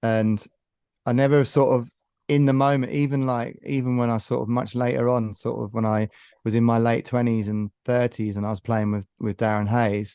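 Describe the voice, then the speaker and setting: Against a quiet background, a man with a dark, mellow tone speaks at medium pitch and a moderate pace, his intonation fairly even and the sound dry and close with no echo. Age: 50s. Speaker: singer-songwriter. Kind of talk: casual interview chat.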